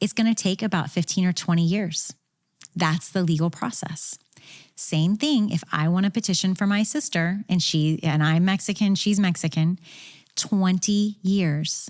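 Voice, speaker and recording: In a very clean recording with a silent background, a woman with a medium-pitched voice and an animated tone speaks at a moderate pace, with ordinary pitch variation and very even loudness. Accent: Midwestern US. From Kansas, US Midwest. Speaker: immigration lawyer. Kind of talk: interview.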